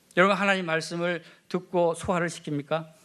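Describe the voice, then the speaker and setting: Here a man talks with monotone, flat intonation. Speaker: pastor. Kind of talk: sermon. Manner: loud.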